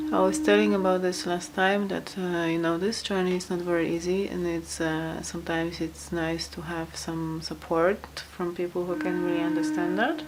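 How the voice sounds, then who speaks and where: A woman with a non-native accent talks at a moderate pace with hardly any pauses, against audible room echo and noticeable background noise. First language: not English. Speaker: tarot reader. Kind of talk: tarot card reading. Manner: halting, many fillers.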